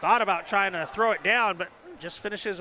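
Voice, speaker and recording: A man with a raised, projected voice, high in pitch, at a very fast pace. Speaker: play-by-play announcer. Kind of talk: live commentary.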